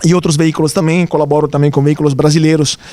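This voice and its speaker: Here a man with an Italian accent speaks at a fairly high pitch. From Italy. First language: Italian (speaking Portuguese). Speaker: journalist. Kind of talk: lecture.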